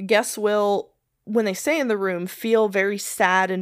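A woman's unremarkable speaking voice at a fairly slow pace. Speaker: podcast co-host. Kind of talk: casual chat and paranormal storytelling. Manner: playful, laughs often.

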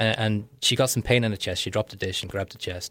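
On a very clean recording with a silent background, a man with a fairly low pitch talks at a very fast pace. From Wales and Liverpool, UK. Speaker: entrepreneur and author. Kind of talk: radio interview. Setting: radio studio.

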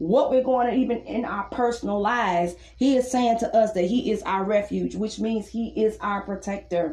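Moderate-paced speech with ordinary pitch variation over noticeable background noise. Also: woman. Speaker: preacher leading a live prayer and Bible teaching broadcast. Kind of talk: sermon with prayer. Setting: live online radio and podcast.

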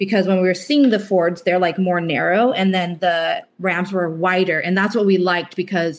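A woman talks at a moderate pace and a medium pitch. She has an ordinary speaking voice. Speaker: van life couple member, guest. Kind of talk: casual interview chat.

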